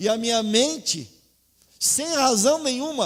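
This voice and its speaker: A man speaks at an extremely high pitch. His pace is very slow. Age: 60s. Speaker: pastor. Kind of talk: sermon.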